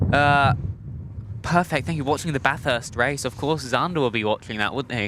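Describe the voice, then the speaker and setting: A man whose pitch is fairly high talks at a moderate pace, his pitch varying in an ordinary way, while noticeable noise sounds in the background. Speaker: plane spotting livestream host. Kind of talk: casual live stream chat. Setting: outdoors at an airport. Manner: casual, hesitant with fillers.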